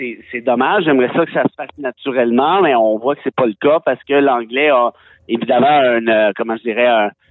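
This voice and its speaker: In a Quebec accent, a man talks at a moderate pace and medium pitch with ordinary pitch variation. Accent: Québécois French. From Quebec, Mont-Laurier region. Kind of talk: casual interview.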